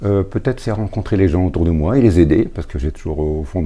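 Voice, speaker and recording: With lively intonation, a man is talking. He speaks very fast. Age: 70s. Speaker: retired volunteer handyman. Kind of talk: interview testimony.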